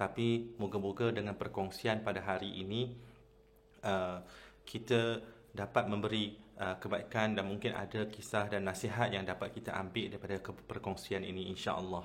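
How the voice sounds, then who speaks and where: Here a man talks at a moderate pace in a fairly low pitch. His intonation is monotone and flat. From Malaysia, Kedah. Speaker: Islamic convert preacher, channel host. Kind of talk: personal testimony talk. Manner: hesitant, many fillers.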